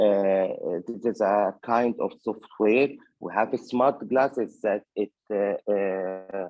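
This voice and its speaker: A man speaks at a fairly low pitch and a very slow pace. His intonation stays fairly even. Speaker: conference presenter. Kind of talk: conference presentation. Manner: halting, many fillers.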